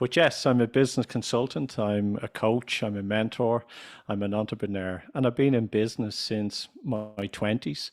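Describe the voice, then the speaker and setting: Fairly low male voice in an Irish accent, with fairly even intonation, dry, close sound with no echo and a very clean recording against a silent background. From Ireland. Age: 50s. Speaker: business consultant and radio chairman. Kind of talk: podcast interview. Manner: deliberately slow, clear pronunciation.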